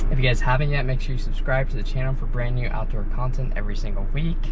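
A man talks at a very fast pace. There is music in the background. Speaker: fishing vlogger. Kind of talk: casual vlog chat. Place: car. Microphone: phone near.

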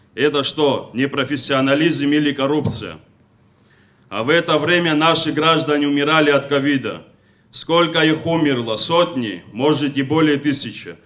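This man talks at a moderate pace, his fairly high voice keeping a fairly even intonation. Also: very even loudness. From Abkhazia. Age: young. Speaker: veteran congress speaker; speaker. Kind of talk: public speech. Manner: formal. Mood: critical, accusatory. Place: hall. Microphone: podium.

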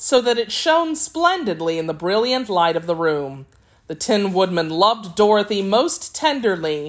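Someone reads a passage aloud in a natural voice.

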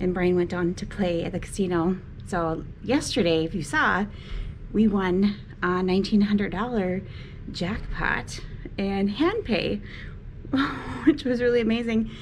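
A woman speaks at a fairly slow pace. Light background noise is present. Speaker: travel vlogger. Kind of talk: casual vlog chat. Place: home room. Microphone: phone near.

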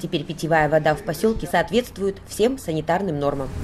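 Using a normal speaking voice, a woman with a fairly low pitch talks at a fairly quick pace with ordinary pitch variation. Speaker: local TV reporter. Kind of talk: news narration.

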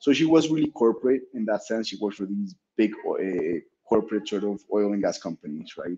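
With a Spanish accent, a man speaks at a fairly quick pace in a fairly low pitch, his tone dark and mellow and his intonation lively. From Colombia, Bogota. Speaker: startup founder and CEO. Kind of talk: interview. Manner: halting, with many repeated words. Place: office.

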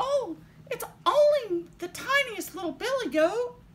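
The pace is fairly slow. The speaker uses a put-on character voice. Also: woman, extremely high pitch for a woman. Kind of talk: children's story.

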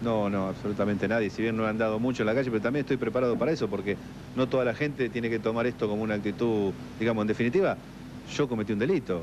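Over noticeable background noise, a man talks very fast, his loudness very even and his intonation fairly even. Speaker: interviewee. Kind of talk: interview answer. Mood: defensive, contrite. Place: hall. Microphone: handheld.

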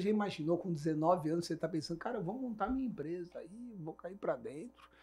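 A man speaking at a moderate pace in a high voice. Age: 40s. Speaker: business management consultant and podcast host. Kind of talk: casual business podcast chat.

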